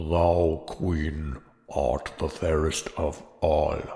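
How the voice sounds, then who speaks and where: A man uses a put-on character voice with a very deep, low pitch. He speaks at a very slow pace. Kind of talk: archaic fairy-tale speech. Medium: read story.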